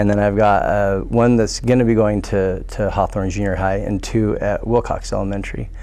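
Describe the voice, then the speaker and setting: A man with an American accent talks at a moderate pace with hardly any pauses, amid noticeable background noise and audible room echo. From Pocatello, Idaho. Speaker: school board candidate. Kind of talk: candidate forum answer. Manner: hesitant, many fillers and repeats.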